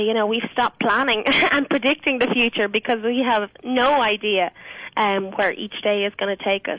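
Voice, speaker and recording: In an Irish accent, a woman speaks at a moderate pace with a fairly high pitch and ordinary pitch variation, in a dry, close sound with no echo. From Ireland. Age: 20s. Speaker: singer. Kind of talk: radio interview answer.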